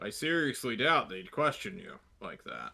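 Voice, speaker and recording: At a moderate pace, a speaker performs in a put-on character voice. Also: man, fairly high pitch for a man. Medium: actual play. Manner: brusque, impatient.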